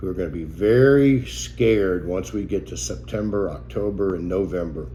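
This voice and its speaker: A man's very deep, low voice with a dark, mellow tone and vocal fry, very wide pitch swings, a moderate pace, and audible room echo. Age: 70s. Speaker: financial advisor. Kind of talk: talking-head video message.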